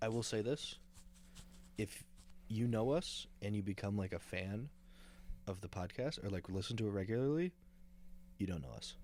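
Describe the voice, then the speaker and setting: A man speaks at a moderate pace with long, frequent pauses. His fairly low voice has lively intonation. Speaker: podcast co-host. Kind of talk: casual chat.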